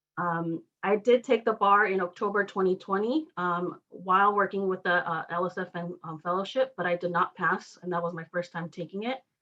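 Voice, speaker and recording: A woman with a Spanish accent speaks in a bright, sharp tone at medium pitch with ordinary pitch variation. She keeps a moderate pace with hardly any pauses. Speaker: law fellow awaiting bar results. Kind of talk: testimony. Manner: halting, many fillers.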